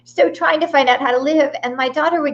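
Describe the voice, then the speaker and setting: With music playing behind her, a woman talks at a fairly brisk clip. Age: 50s. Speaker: midlife empowerment coach. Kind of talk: interview. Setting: live stream.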